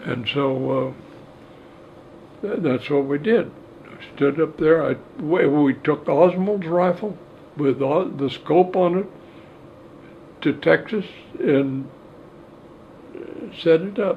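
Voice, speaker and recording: Over noticeable background noise, a man speaks at a fairly high pitch with ordinary pitch variation. His pace is very slow, with long, frequent pauses. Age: 80s+. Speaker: firearms expert and ballistics examiner. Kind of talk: interview answer.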